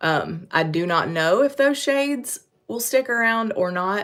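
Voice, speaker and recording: This is a woman with a Western North Carolina accent and a bright, sharp tone. The recording is very clean, with a silent background. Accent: Western North Carolina, recognizable. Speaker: makeup brand presenter. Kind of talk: live-stream makeup tutorial. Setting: YouTube live stream. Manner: casual, chatty.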